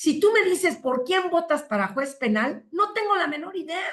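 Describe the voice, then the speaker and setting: A woman with a Mexican accent at a moderate pace, with very wide pitch swings. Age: 60s. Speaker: family lawyer. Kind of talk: interview.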